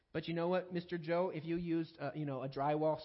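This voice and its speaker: This man talks at a fairly quick pace. His intonation is fairly even. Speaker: pastor. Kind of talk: sermon. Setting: church. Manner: fast.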